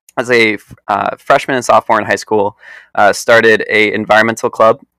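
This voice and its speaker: A man with a New York accent, medium pitch, moderate pace, and a bright, sharp tone in a dry, close sound with no echo. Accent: American, New York. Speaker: environmental activist. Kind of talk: interview. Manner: hesitant, many fillers.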